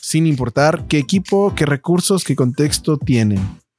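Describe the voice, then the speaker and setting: On a very clean recording with a silent background and a dry, close sound with no echo, a man uses an ordinary speaking voice, fairly slow in pace with lively intonation. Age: 30s. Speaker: church media podcast co-host. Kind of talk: casual chat.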